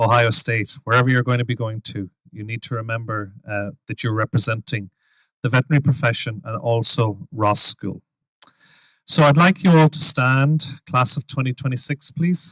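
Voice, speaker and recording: A man with an Irish accent in a dry, close recording with no echo. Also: medium pitch for a man, ordinary pitch variation, moderate pace. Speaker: dean of a veterinary school. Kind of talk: ceremony speech, leading an oath. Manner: formal.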